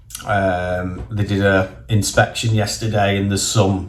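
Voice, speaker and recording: With a northern English accent, a man speaks in a very deep, low pitch that is somewhat breathy, with ordinary pitch variation. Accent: northern English twang. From northern England. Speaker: property investor and vlogger. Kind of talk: casual vlog monologue. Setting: in a car. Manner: casual, conversational.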